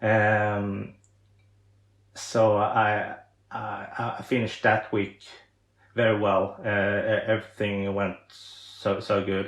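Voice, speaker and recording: Pausing long and often, a man with a Swedish accent speaks at a very slow pace with a fairly low pitch and monotone, flat intonation. The background is quiet. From Sweden. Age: 30s. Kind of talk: podcast interview. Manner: halting, many fillers and repetitions.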